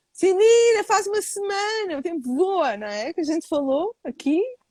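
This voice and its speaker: A woman in a European Portuguese accent, dark and mellow in tone, with very wide pitch swings and a dry, close sound with no echo. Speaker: live show host. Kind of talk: casual live-stream interview. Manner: fast; swallows words.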